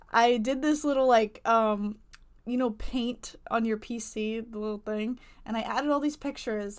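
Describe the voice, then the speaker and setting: An unremarkable speaking voice with ordinary pitch variation. The recording is very clean, with a silent background. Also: woman. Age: 20s. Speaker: YouTuber, waitress. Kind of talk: casual vlog advice talk. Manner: casual, filler-heavy.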